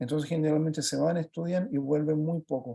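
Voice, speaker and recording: A man's fairly high, dark, mellow voice with fairly even intonation and a Chilean accent. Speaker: project facilitator working with children. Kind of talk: presentation talk on a video call. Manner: fast; halting, with many fillers.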